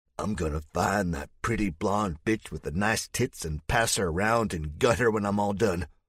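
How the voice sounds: Reading voice, natural in tone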